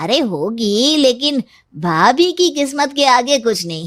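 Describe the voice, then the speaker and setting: A woman speaks in a cartoonish character voice, pitched high, with very wide pitch swings and a fairly slow pace. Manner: warm, respectful.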